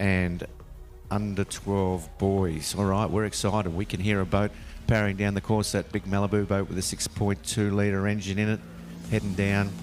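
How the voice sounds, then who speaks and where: Speaking at a moderate pace with an Australian accent, a man holds a fairly low pitch in a flat, monotone delivery. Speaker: sports commentator. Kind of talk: live commentary. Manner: speaking quietly.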